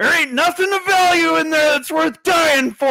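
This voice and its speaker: Shouting in a put-on character voice, a man speaks at an extremely high pitch and a moderate pace. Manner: gruff, defiant.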